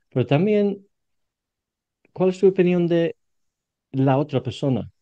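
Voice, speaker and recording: A man speaks with a British accent. His pitch rises and falls in an ordinary way. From Britain. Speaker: podcast host and English coach. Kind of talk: interview conversation. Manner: halting, repeats words.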